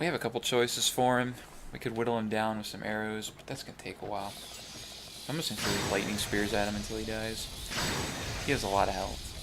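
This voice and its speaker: Amid noticeable background noise, a man with a fairly low pitch and fairly even intonation talks at a very fast pace, broken by long, frequent pauses. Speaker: gaming video host. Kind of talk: let's play commentary. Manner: soft-spoken; casual. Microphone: may be too quiet.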